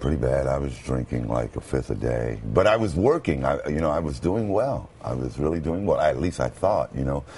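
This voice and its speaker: In an American accent, a man with a very deep, low pitch talks at a moderate pace with hardly any pauses. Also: lively intonation. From Brooklyn, New York. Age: 50s. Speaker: former radio announcer. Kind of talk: TV interview answer. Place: studio.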